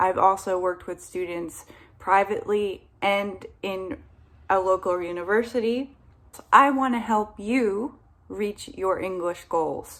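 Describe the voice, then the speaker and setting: A woman with an American accent speaks at a fairly slow pace in an unremarkable speaking voice, medium-pitched with ordinary pitch variation, on a very clean recording with a silent background. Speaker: English teacher. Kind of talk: casual talk to camera. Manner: friendly, encouraging.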